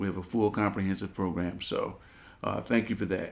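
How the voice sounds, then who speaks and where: A man's voice with ordinary pitch variation. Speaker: radio co-host. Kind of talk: radio interview with prayer. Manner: halting, hesitant with repeated words.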